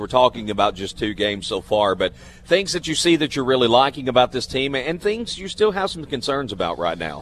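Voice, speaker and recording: Speaking at a fairly quick pace with hardly any pauses, a man uses a medium pitch with very wide pitch swings and vocal fry. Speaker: radio host. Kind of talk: radio sports show interviews. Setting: live from restaurant.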